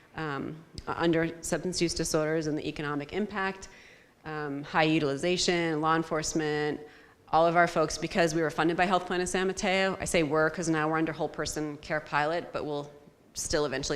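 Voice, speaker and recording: Over audible room echo, a woman speaks at a fairly quick pace with fairly even intonation. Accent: American. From US East Coast. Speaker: behavioral health program manager. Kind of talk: conference presentation. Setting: conference venue with audience. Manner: fast.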